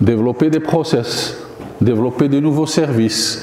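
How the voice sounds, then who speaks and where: A man speaks at a fairly slow pace with ordinary pitch variation, audible room echo and noticeable background noise. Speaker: professor giving a guest lecture. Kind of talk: lecture. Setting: university lecture hall. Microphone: no microphone.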